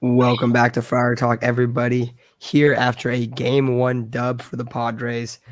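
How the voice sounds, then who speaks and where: Here a man is talking. His pitch is medium, and his intonation stays monotone and flat. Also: moderate pace. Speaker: sports podcast host. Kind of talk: casual chat.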